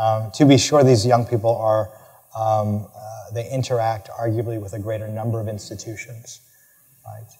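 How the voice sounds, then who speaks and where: A man's medium-pitched, dark, mellow voice, somewhat breathy, with monotone, flat intonation and big swings in loudness. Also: moderate pace. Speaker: professor of education. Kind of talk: lecture Q&A answer. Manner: halting, many fillers and repetitions.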